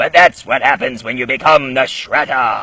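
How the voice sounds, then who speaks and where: Pitched fairly high, a man's voice is put on as a character act. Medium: solo performance. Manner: blustering, threatening.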